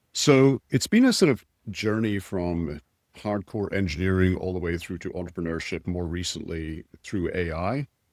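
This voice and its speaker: A man with a Scottish accent speaks at a moderate pace in a very deep, low pitch with ordinary pitch variation, the sound dry and close with no echo on a very clean recording with a silent background. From Scotland. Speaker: tech executive and entrepreneur. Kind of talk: podcast interview. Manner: blunt.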